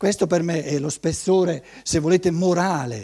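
The man's voice sits high in pitch. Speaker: lecturer on anthroposophy. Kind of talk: lecture. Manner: hesitant, many repetitions and fillers.

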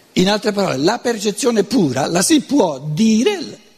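A man with very wide pitch swings over noticeable background noise. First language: Lombard dialect (speaking Italian). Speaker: lecturer on philosophy. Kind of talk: lecture.

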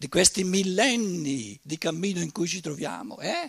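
A man's high voice at a fairly slow pace. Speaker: lecturer. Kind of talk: lecture. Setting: conference with live audience.

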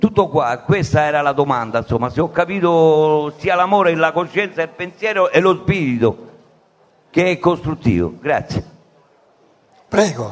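Long, frequent pauses break up a man's fairly slow speech. His pitch is fairly high, with ordinary variation. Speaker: audience member. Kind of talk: audience question. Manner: loud; halting.

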